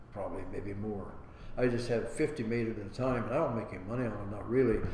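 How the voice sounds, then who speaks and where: A man at a medium pitch and a very fast pace, with fairly even intonation, noticeable background noise and audible room echo. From Ohio, Licking County. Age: 90s. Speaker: war veteran. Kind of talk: oral history interview. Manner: halting.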